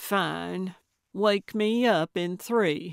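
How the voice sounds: In a very clean recording with a silent background and a dry, close sound with no echo, a woman uses a put-on character voice at a very slow pace, with a fairly low pitch, ordinary pitch variation, vocal fry and a clear, smooth tone.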